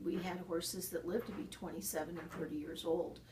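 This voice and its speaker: Against noticeable background noise and audible room echo, a woman talks with ordinary pitch variation. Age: 60s. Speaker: horse farm owner and riding trainer. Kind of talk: interview.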